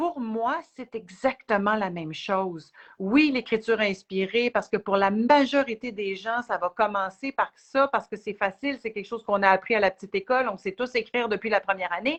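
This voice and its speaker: A woman with a Quebec accent, fairly high pitch, ordinary pitch variation and moderate pace, in a dry, close sound with no echo over a quiet background. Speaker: spiritual teacher. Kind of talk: live Q&A chat. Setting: livestream video.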